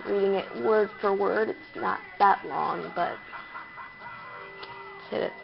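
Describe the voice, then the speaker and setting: Over music in the background, a woman with a medium pitch speaks at a very slow pace. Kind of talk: creepypasta reading.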